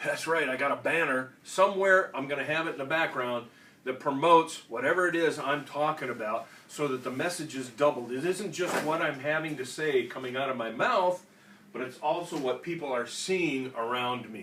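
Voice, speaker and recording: Noticeable background noise sits behind a man speaking at a moderate pace. His voice is fairly high and varies in pitch in an ordinary way. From Minnesota (Austin). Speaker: veterans organization state official, Marine veteran. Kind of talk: instructional talk. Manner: casual, conversational.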